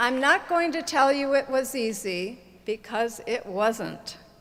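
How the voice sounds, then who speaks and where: A woman in an American accent speaks at a very slow pace. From Chicago area, US Midwest. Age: 60s. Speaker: graduating student speaker. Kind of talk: commencement speech. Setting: stage with audience.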